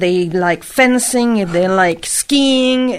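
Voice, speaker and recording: A woman's medium-pitched voice at a fairly slow pace, with lively intonation. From Monaco. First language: French. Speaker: interpreter. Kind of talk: interview.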